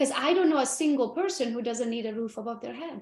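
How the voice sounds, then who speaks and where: Against a quiet background, a woman with a non-native accent speaks at a moderate pace in a high, animated voice with lively intonation. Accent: foreign. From Romania (Transylvania), Hungarian. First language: Hungarian. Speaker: real estate agent. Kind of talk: interview.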